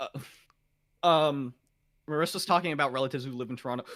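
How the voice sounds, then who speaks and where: Very fast and loud, a man speaks in a bright, sharp tone. The recording is very clean, with a silent background. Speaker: gaming podcast host. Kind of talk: casual chat. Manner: loud, high energy; fast, talkative.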